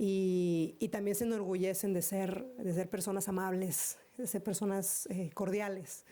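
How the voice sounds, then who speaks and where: In a Mexican accent, a woman speaks at a fairly slow pace with hardly any pauses, fairly even intonation and very even loudness. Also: medium pitch for a woman. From northeastern Mexico. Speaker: conference keynote speaker. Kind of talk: Q&A answer at conference. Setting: conference hall with audience. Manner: halting, many repetitions.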